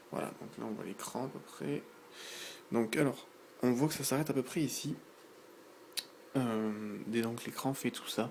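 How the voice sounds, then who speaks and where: Soft-spoken and medium in pitch, a man talks at a fairly slow pace. Long, frequent pauses break up his speech. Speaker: tech youtuber. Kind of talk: unboxing and product demo. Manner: hesitant, many fillers.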